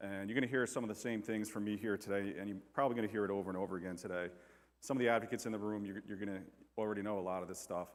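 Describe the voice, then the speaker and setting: A man with an American accent speaks at a fairly low pitch. His intonation stays fairly even. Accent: New York accent with slight southern touches. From New York. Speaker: firefighter and bereaved father speaking on domestic abuse. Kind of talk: conference talk. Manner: casual, with many repetitions and fillers.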